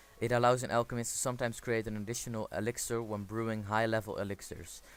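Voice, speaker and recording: A man with a non-native accent, medium pitch, monotone, flat intonation and a very fast pace. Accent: non-native English accent, self-noted. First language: not English. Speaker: gaming video creator. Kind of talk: game tutorial with screen commentary. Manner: casual, with frequent fillers.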